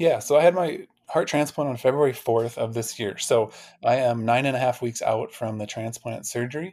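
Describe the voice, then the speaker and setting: A man with a normal speaking voice, medium in pitch, ordinary pitch variation, and a moderate pace. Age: 40s. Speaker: heart transplant recipient, physical therapist. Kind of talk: interview conversation.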